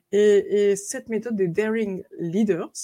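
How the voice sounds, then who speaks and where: In an American accent, a woman speaks at a very slow pace. Her pitch sits at a medium level. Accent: American-tinged French. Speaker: author and coach. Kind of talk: interview.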